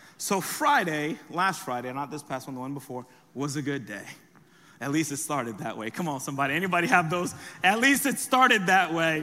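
Audible room echo surrounds a man whose fairly high voice moves at a fairly quick pace, with lively intonation and big swings in loudness. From US, raised from age seven after birth in France. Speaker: pastor. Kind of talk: sermon. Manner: animated.

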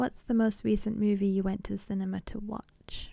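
With a British accent, a woman speaks at medium pitch in a dark, mellow tone. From England. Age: 20s. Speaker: podcast host. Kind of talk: casual solo podcast intro.

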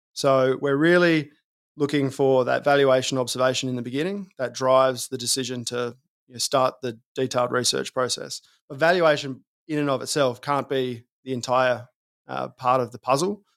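With an Australian accent, a man speaks at a moderate pace and medium pitch with fairly even intonation. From South Australia. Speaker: fund manager. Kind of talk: interview.

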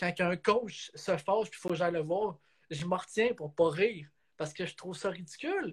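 Speaking at a moderate pace, a man with a high voice shows ordinary pitch variation and big swings in loudness. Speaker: photographer and videographer, hockey coach and referee. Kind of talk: casual interview.

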